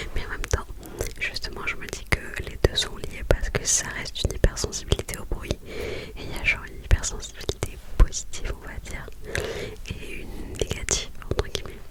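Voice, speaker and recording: Whispering at a moderate pace, a woman swings widely in loudness over noticeable background noise. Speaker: ASMR creator. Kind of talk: whispered ASMR chat. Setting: in bed at home. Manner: halting.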